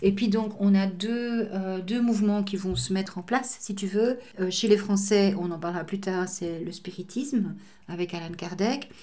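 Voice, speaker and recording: Somewhat breathy and dark, mellow in tone, a woman speaks at a medium pitch and a fairly slow pace with fairly even intonation. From Belgium. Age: old. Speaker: medium and translator. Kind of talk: interview.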